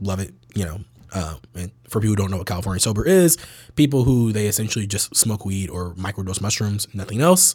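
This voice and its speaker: A man with an American accent speaks at a fairly low pitch, somewhat breathy, with ordinary pitch variation. The recording is very clean, with a silent background. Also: fairly quick pace. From US West Coast, San Francisco Bay Area. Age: 20s. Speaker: cannabis company executive. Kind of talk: casual interview chat.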